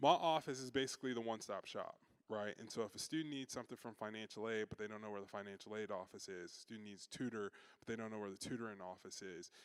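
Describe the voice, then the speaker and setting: Talking at a very fast pace with a Chicago accent, a man uses a fairly low pitch, ordinary pitch variation and big swings in loudness. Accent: Chicago twang. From Chicago, US Midwest. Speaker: university student affairs staff. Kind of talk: orientation talk to parents. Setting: in-person session with audience. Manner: casual, conversational with frequent fillers.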